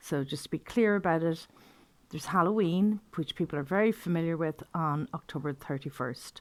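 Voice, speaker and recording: A woman speaks with an Irish accent. Her pitch variation is ordinary. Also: fairly low pitch for a woman, moderate pace. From Ireland. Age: 60s. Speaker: pagan teacher. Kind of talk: informal talk to camera. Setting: video to camera.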